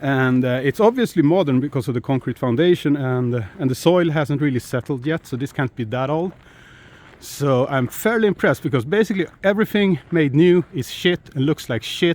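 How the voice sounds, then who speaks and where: Speaking at a fairly quick pace, a man uses lively intonation with a fairly high pitch. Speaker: YouTuber, runestone explorer. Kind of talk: outdoor vlog commentary. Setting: outdoors, winter walk. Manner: casual, halting with fillers.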